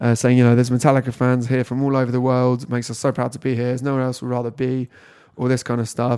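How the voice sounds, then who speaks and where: This man has a British accent and a dark, mellow tone at medium pitch. He talks very fast in a flat monotone, on a very clean recording with a silent background. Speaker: music magazine podcast host. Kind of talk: casual chat, podcast. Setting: echoey boardroom.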